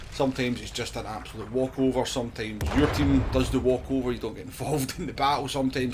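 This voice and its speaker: A man with a Scottish accent at a very fast pace, with audible room echo and noticeable background noise. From Scotland. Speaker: gaming streamer. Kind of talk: casual channel introduction.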